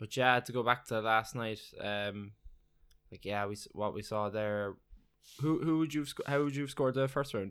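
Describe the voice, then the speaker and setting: In a very clean recording with a silent background, a man with an Irish accent speaks at a fairly quick pace, his medium pitch showing ordinary variation. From Ireland. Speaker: podcast co-host, MMA fan. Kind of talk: casual chat.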